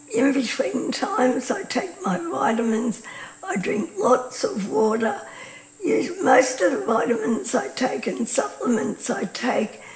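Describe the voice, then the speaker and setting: In an Australian accent, a woman speaks fairly slowly at a high pitch with very wide pitch swings, amid audible room echo and noticeable background noise. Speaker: patient advocate and presenter. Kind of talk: informal talk to camera. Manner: hesitant, many fillers.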